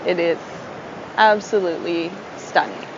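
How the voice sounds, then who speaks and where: Against noticeable background noise, a woman talks in a relaxed tone at a fairly slow pace with fairly even intonation. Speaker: travel podcast host. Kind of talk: live travel recording, casual tips. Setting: on location on a tropical island.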